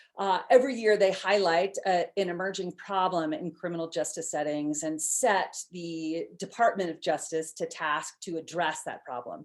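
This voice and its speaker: A woman with an American accent and a normal speaking voice, fairly low in pitch with ordinary pitch variation, at a moderate pace on a very clean recording with a silent background. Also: hardly any pauses. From US Northeast, outside Boston. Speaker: neuropsychologist and professor. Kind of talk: conference talk.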